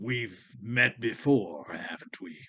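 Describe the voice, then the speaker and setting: A man puts on a raspy character voice at medium pitch. The intonation is lively. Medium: audio drama. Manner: calm, unhurried, mocking.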